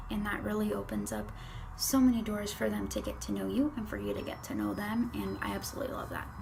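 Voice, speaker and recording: A woman speaks at a very fast pace. Music plays in the background, and there is audible room echo. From Chile, moved to US at almost eight. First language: Spanish. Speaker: interviewee. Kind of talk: interview answers.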